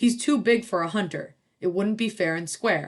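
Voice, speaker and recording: A woman puts on a character voice at medium pitch. She growls as she speaks. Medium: read story. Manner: plain and steady.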